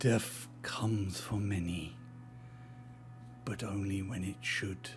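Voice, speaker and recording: A man puts on a character voice at a fairly low pitch and a fairly slow pace, with loud background noise behind it. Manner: clacking.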